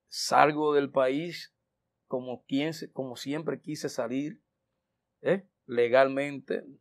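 Speaking at a very slow pace with long, frequent pauses, a man keeps his intonation fairly even. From Dominican Republic. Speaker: merengue singer; guest. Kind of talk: interview. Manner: hesitant with many fillers. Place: studio. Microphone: lapel.

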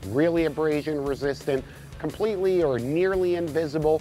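The speech moves at a fairly quick pace in a dry sound with no echo. Clear music plays in the background. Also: man. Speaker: fishing show host. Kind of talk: tutorial. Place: boat.

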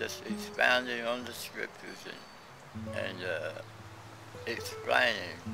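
A man speaks at a very slow pace with long, frequent pauses. Noticeable background noise runs underneath. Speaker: son recalling his father. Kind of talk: interview answer. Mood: warm, reflective. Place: garden.

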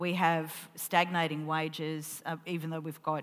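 Talking fairly quickly, a woman with a fairly low voice speaks in an Australian accent. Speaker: columnist and festival interviewer; festival interviewer. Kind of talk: onstage interview. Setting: stage with audience. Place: stage. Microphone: headset.

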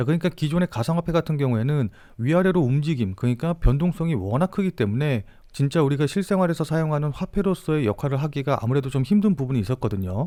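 Talking at a very fast pace, a man has a fairly high pitch and lively intonation. His tone is dark and mellow, with very even loudness. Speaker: crypto trader and market commentator. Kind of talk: market analysis video. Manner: formal.

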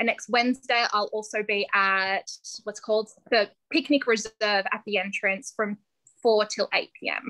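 A woman speaks with an Australian accent, her tone energetic, bright and sharp, at a fairly high pitch. She keeps a moderate pace against a quiet background. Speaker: ice cream business founder. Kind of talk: interview. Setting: video call. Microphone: video call.

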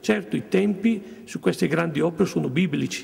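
Speaking at a fairly slow pace, a man lets his pitch swing very widely. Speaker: local government official; business representative on a panel. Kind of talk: panel discussion. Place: meeting room. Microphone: podium.

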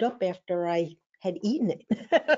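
With an American accent, a woman is talking. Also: quiet background. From US Northeast, Philadelphia. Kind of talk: webinar presentation. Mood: reflective, relaxed. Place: home room. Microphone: webcam.

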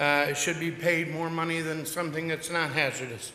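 A man's high-pitched, monotone, flat voice amid noticeable background noise and audible room echo. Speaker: towing company owner, public commenter. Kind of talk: public comment at council meeting. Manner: fast; impassioned.

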